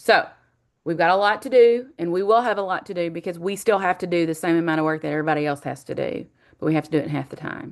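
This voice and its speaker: This woman's fairly low voice rushes along at a very fast pace, showing ordinary pitch variation. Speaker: college instructor. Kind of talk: online class welcome lecture. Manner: casual, with many fillers.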